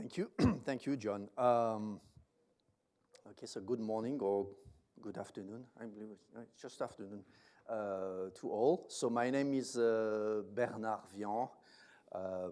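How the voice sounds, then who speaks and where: With a French accent, a man speaks fairly slowly at a fairly low pitch, his loudness swinging widely and long, frequent pauses breaking up his speech. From France. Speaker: company managing director. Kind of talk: investor presentation. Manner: halting, many fillers.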